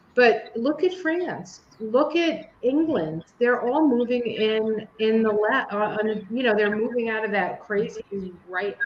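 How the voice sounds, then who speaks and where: A woman speaks at a fairly slow pace in a fairly high pitch, her intonation lively, with noticeable background noise behind her. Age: 60s. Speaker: podcast co-host. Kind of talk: casual chat.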